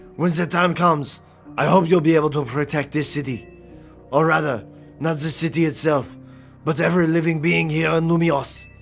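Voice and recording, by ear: A put-on character voice, gravelly and in a French accent, at a moderate pace over clear music in the background. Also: man. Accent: exaggerated French.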